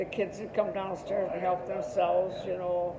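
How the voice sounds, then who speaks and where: A woman talks over noticeable background noise. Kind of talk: interview answer. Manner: reminiscing, hesitant.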